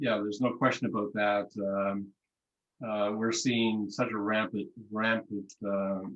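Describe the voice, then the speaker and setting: In a monotone, flat intonation, a man with a fairly low pitch speaks at a fairly slow pace. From New Brunswick, Canada. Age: 70s. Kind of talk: casual chat. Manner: halting, many fillers.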